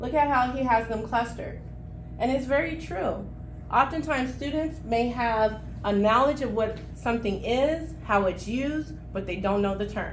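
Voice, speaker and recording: A woman's fairly high-pitched voice at a moderate pace, with ordinary pitch variation and audible room echo. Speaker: teacher trainer leading a professional development session. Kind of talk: workshop presentation.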